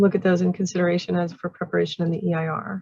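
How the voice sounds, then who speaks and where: The woman's voice is somewhat breathy. It sits at a fairly low pitch. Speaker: county planner chairing public meeting. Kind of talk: public meeting moderation.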